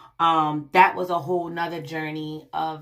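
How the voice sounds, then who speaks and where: Very deep and low, a woman's voice moves at a fairly slow pace in a monotone, flat intonation. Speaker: vlogger. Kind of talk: personal vlog. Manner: halting, many fillers.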